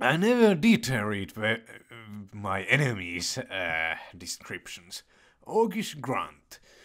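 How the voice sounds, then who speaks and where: At a very slow pace, a man speaks with very wide pitch swings. His voice sits at a medium pitch. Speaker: let's play gamer. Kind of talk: gameplay commentary with reading aloud. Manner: halting.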